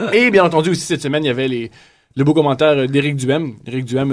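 Speaking at a very fast pace, a man uses a fairly high pitch and ordinary pitch variation. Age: 20s. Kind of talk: casual chat.

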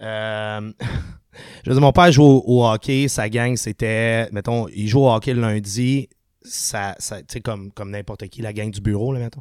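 With a plain, everyday voice, a man speaks at a medium pitch with fairly even intonation but big swings in loudness, in a dry, close sound with no echo and a very clean recording over a silent background. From Quebec, Sainte-Julie. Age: 30s. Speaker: punk rock singer. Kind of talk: casual chat.

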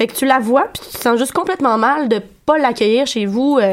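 At a moderate pace, a woman speaks high in pitch with ordinary pitch variation. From Quebec City. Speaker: radio columnist. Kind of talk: casual radio chat. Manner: halting, many repetitions.

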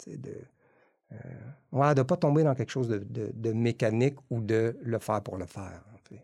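Speaking at a moderate pace with long, frequent pauses, a man at medium pitch shows ordinary pitch variation and big swings in loudness over a quiet background. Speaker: meditation and yoga teacher. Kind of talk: casual chat. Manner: halting.

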